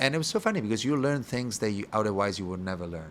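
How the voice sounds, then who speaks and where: A man speaks with an Italian accent and ordinary pitch variation. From Italy (Rome). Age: 30s. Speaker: bar owner and bartender. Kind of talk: interview podcast conversation. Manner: halting.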